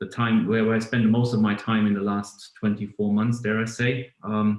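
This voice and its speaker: The speaker has a German accent and a moderate pace. The intonation stays monotone and flat. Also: man. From Germany. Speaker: automotive business executive. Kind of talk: podcast interview. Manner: hesitant, many fillers and repeats.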